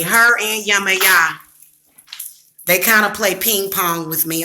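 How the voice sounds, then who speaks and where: A woman speaks with a Southern US accent. Her intonation is monotone and flat. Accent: Southern accent, deepened. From US Midwest. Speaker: psychic and small business owner. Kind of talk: casual livestream chat. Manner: casual, chatty.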